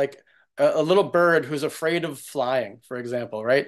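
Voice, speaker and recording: Against a quiet background, a man with a plain, everyday voice talks at a moderate pace, fairly high in pitch, with ordinary pitch variation. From US Northeast, New York. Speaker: screenwriter. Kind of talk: casual chat.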